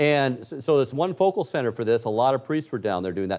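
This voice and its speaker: Using a normal speaking voice, a man with a fairly high pitch talks at a fairly quick pace with lively intonation. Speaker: news correspondent. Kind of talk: casual radio chat.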